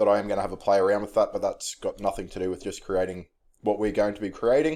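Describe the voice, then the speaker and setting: At a fairly quick pace, a man with an Australian accent talks in a very clean recording with a silent background. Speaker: tech tutorial youtuber. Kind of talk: screen-recorded tutorial. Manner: casual, with fillers.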